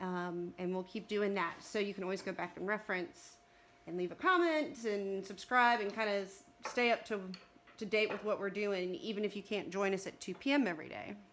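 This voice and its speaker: A woman's medium-pitched voice with a Texas accent, fairly quick pace and ordinary pitch variation. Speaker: livestream co-host. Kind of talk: casual chat. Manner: talkative.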